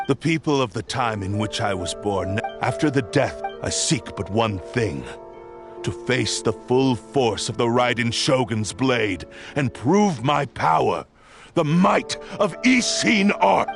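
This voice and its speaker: A man in a put-on character voice at a fairly slow pace, with clear music in the background. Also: medium pitch for a man. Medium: machinima. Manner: cold, imperious.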